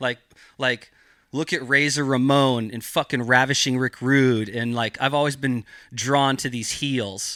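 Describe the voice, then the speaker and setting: A man with an American accent and a bright, sharp tone, fairly even in intonation, in a very clean recording with a silent background. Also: medium pitch for a man, fairly slow pace, dry, close sound with no echo. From Northern California, Mendocino County. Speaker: cannabis cultivator. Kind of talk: casual podcast interview.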